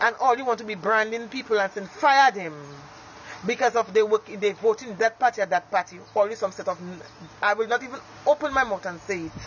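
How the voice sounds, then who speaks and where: The speech moves at a fairly quick pace with an animated tone over noticeable background noise. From Dominica. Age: young. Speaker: street vendor. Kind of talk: political rant.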